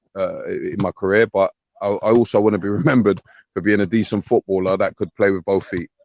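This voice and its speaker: Very fast male speech, fairly low in pitch, with fairly even intonation. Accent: London. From North London (Tottenham). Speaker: former footballer, now coach. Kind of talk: interview.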